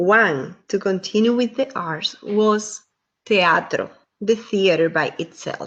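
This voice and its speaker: A woman with a Spanish accent speaks at a medium pitch with lively intonation. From Dominican Republic. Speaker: theater company co-founder. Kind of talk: presentation. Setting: video call.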